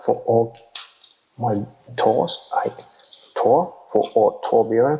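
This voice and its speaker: A man talks with a non-native accent. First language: not English. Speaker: toy figure reviewer. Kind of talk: ASMR toy review. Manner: soft-spoken; halting.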